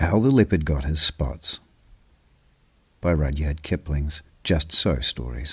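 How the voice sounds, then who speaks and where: A man with a very deep, low pitch and ordinary pitch variation speaks at a very slow pace with long, frequent pauses, vocal fry and a calm tone, on a very clean recording with a silent background. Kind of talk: read story; sleep story.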